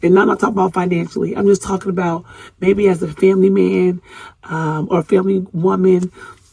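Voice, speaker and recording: The voice has a dark, mellow tone and is somewhat breathy. It rushes along at a very fast pace in a monotone, flat intonation. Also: woman. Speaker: podcast host. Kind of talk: solo podcast monologue. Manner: casual, conversational.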